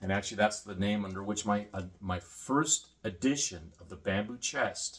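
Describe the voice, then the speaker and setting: With an American accent, a man speaks in a fairly low, somewhat breathy voice. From Vietnam and Singapore, then US from high school. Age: 50s. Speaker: homesteader and former combat photographer. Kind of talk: casual monologue vlog. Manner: fast.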